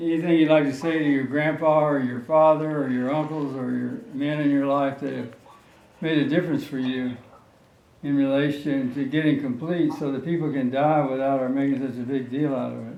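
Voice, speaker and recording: Speaking at a fairly quick pace, a man with an American accent uses a fairly high pitch and monotone, flat intonation, with audible room echo. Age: 80s+. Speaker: retired veterinarian and show host. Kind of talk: casual conversation.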